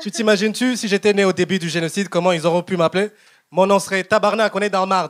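Over a quiet background, a man talks very fast in a high voice with fairly even intonation. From Rwanda. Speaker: stand-up comedian. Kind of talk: stand-up. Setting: stage with audience. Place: stage. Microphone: handheld.

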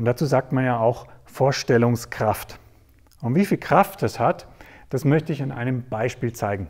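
A man speaks somewhat breathily at a fairly slow pace over a quiet background. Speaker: presenter. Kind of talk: storytelling talk to an audience. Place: stage. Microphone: lapel.

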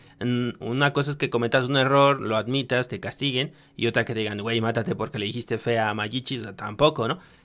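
A man talks at a fairly quick pace, with hardly any pauses. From Mexico. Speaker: streamer reaction commentator. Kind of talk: reaction commentary. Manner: animated. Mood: critical, exasperated. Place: home room. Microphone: studio mic.

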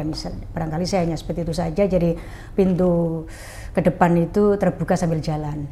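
Fairly quick speech from a woman, fairly low in pitch, an ordinary speaking voice. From Central Java, Pekalongan; Central Java, Indonesia. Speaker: former regent; guest. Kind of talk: interview. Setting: at home. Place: home room. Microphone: lapel.

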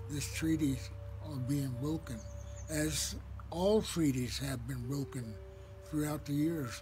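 With music in the background, a man delivers his words very slowly. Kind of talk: spoken personal message. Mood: solemn, sorrowful. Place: garden. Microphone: phone near.

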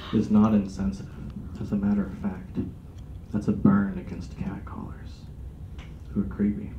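A man with an American accent, fairly low in pitch with a dark, mellow tone and vocal fry, lively intonation at a moderate pace, long, frequent pauses, noticeable background noise. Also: big swings in loudness. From Sacramento, California. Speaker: stand-up comedian. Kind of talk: stand-up comedy, dark one-liners with a live audience. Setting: stage with audience. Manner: cocky, shock-humor banter with the audience. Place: meeting room. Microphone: camera far.

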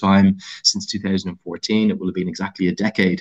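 Against a quiet background, a man talks at a fairly quick pace in a fairly low voice with an Irish accent. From Ireland. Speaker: cricket commentator and former player. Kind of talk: podcast interview answer. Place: home room. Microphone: video call.

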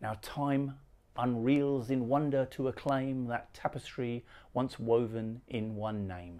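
Dark and mellow in tone, the voice has ordinary pitch variation. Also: man. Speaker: poet. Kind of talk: poetry reading. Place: home room.

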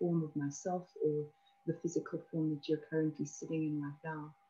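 A woman's fairly low voice comes across dark, mellow and somewhat breathy. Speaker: spiritual teacher co-host. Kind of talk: calm spiritual talk to viewers. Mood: calm, gentle, warm. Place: home room. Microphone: webcam.

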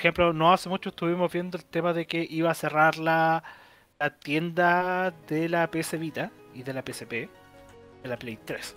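Faint music plays behind a man whose clear, smooth, fairly bright tone sits at a fairly high pitch, his intonation fairly even. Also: moderate pace.

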